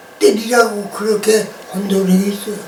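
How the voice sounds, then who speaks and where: Audible room echo and noticeable background noise surround a man speaking at a fairly slow pace. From Jeju, Korea (Nansan-ri, Seongsan). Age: 90s. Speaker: elderly survivor of the Jeju 4.3 incident. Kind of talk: oral history interview.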